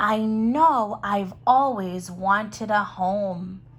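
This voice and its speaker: A woman speaks at a very slow pace in a put-on character voice. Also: medium pitch for a woman. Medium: read story. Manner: gentle, wondering.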